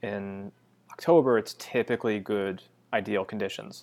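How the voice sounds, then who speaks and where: Slow-paced and fairly low, a man speaks in a normal speaking voice with an American accent. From US Northeast, western Massachusetts. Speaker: amateur marathon runner and photographer. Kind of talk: casual interview chat.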